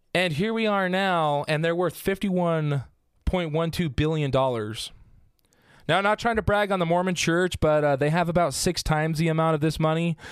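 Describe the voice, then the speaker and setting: In a very clean recording with a silent background, a man speaks with an American accent. His pitch is high, his pace moderate, and his pitch variation ordinary. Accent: small-town rural pronunciation. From southern Utah. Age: 20s. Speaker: podcast host. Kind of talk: casual chat; informal storytelling.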